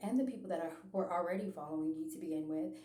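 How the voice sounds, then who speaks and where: A woman speaks at a medium pitch. Noticeable background noise and audible room echo surround her voice. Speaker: religious vlogger. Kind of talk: personal testimony monologue. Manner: hesitant, many filler ums and repetitions.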